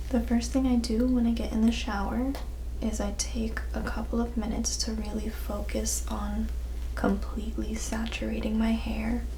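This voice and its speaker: A soft-spoken woman with a gentle tone and a very deep, low pitch, monotone and flat in intonation, at a moderate pace amid noticeable background noise. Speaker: friend guest sharing hair care tips. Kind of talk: casual soft-spoken hair care talk. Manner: soft-spoken, gentle.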